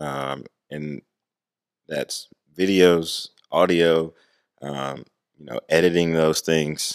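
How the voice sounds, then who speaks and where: Calm and relaxed, the voice moves at a very slow pace with long, frequent pauses, fairly even intonation, and big swings in loudness. The sound is dry and close, with no echo. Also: man, very deep, low pitch for a man. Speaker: youth ministry program director. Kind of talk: casual interview. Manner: calm, relaxed.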